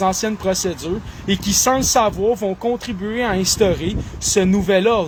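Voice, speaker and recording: Noticeable background noise, and a man with a Quebec accent and a high pitch, at a fairly slow pace with ordinary pitch variation. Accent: Québécois French. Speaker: online commentator. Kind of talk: solo monologue reading and commenting news articles. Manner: animated.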